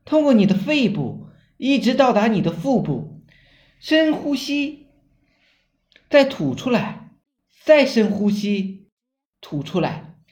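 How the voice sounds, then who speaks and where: Very wide pitch swings mark this man's very slow speech. Audible room echo surrounds his voice. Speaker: online marketing trainer. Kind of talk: tutorial.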